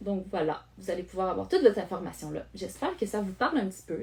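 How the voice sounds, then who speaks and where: Speaking very fast in a Quebec accent, a woman has a dark, mellow tone that is somewhat breathy. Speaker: online course creator, project management coach. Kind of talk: live stream talk to viewers. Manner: halting, many fillers.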